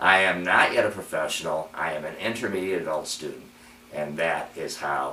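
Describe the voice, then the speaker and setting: Amid audible room echo and noticeable background noise, a man talks at a moderate pace. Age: 60s. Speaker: adult piano student. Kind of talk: personal video commentary. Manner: halting.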